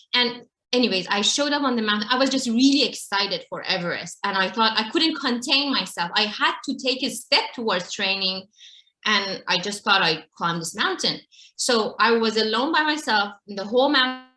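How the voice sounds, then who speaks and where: Lively intonation from a woman with an Iranian accent, fairly high pitch, a bright, sharp tone and a fairly quick pace. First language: Farsi. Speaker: mountain climber and advocate for girls. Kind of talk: interview storytelling.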